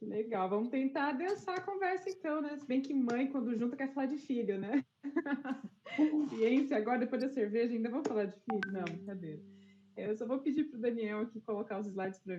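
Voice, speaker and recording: A soft-spoken woman talks at a fairly high pitch with a dark, mellow tone. Her intonation is lively and her pace fairly quick. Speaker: scientist, panelist. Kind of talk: panel discussion. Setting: video call from home. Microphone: headset, too quiet.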